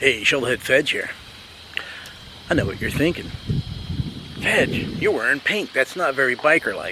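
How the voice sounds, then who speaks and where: Against noticeable background noise, a man with a fairly high voice speaks at a moderate pace with ordinary pitch variation. He leaves long, frequent pauses. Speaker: motorcycle restoration vlogger. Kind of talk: casual vlog.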